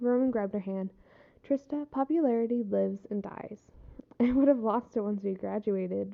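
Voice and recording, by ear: The text is read aloud in a natural voice. Pitch varies by an ordinary amount.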